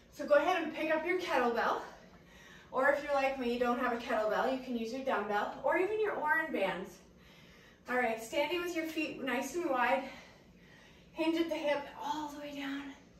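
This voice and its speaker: Against light background noise and audible room echo, a woman with a high pitch talks at a moderate pace, ordinary pitch variation and long, frequent pauses. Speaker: fitness instructor. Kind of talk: workout instruction. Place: garden. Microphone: camera far.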